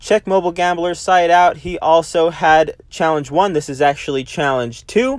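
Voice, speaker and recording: A man's high-pitched, energetic voice at a moderate pace, with hardly any pauses and ordinary pitch variation. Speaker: mobile gaming YouTuber. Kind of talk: gaming video commentary. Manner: casual, energetic.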